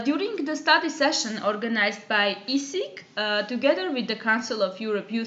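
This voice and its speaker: Against audible room echo, a woman with a high-pitched voice talks at a moderate pace with lively intonation. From Armenia. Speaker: youth work educator. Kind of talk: online course lecture. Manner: hesitant, many filler sounds.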